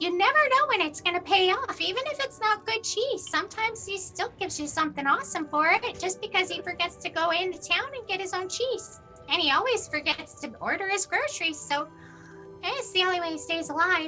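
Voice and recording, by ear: A woman uses a put-on character voice at an extremely high pitch, with a bright, sharp tone and lively intonation. She moves at a fairly quick pace over faint music in the background.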